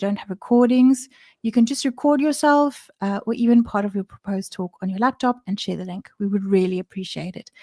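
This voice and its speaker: A woman with a non-native accent and a fairly high pitch speaks at a moderate pace with hardly any pauses, a dark, mellow tone, ordinary pitch variation and big swings in loudness, in a dry, close sound with no echo on a very clean recording with a silent background. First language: not English. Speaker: developer advocate. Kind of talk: livestream presentation. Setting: livestream.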